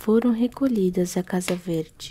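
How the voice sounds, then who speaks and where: Soft-spoken and somewhat breathy, a woman talks at a very slow pace in a medium pitch with a dark, mellow tone. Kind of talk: ASMR reading of a classic novel.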